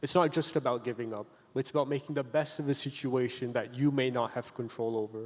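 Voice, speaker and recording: Speaking with a plain, everyday voice, a man holds a medium pitch and fairly even intonation. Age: young. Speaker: university student. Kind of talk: panel discussion.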